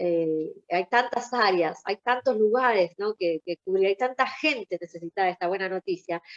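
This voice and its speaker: A woman with a medium pitch talks at a moderate pace with hardly any pauses, recorded dry and close with no echo. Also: ordinary pitch variation. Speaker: Bible study teacher. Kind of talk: Bible study class. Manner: hesitant, many fillers.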